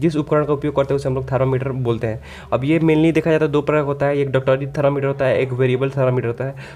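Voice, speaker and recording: A man's fairly high-pitched voice with monotone, flat intonation. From Siwan, Bihar, India. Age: 20s. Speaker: AC/electrical engineer, HVAC teacher. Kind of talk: technical tutorial. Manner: casual.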